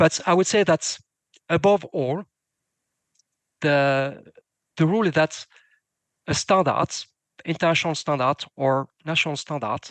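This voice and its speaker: With a non-native accent, the speaker goes at a fairly slow pace with long, frequent pauses over a quiet background. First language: not English. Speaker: demining standards expert. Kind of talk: panel Q&A answer. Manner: hesitant, many fillers and false starts.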